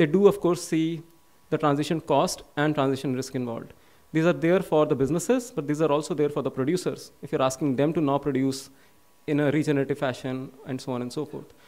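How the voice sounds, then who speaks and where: A man's fairly high voice at a very fast pace with ordinary pitch variation. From India. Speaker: policy researcher; conference speaker. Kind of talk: conference summary speech. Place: hall. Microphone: podium.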